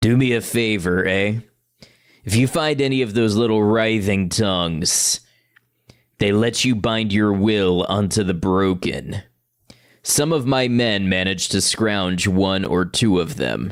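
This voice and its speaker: In a put-on character voice, the speaker goes at a fairly slow pace with ordinary pitch variation. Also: man, fairly low pitch for a man. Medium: game stream. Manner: grim, world-weary.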